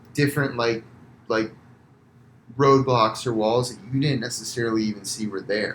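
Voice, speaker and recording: A man with an American accent speaks at medium pitch and a moderate pace, with fairly even intonation. His loudness swings widely, and he pauses long and often. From US, Florida. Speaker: physical therapist, entrepreneur. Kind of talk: casual podcast interview. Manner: loud when passionate; many fillers, halting.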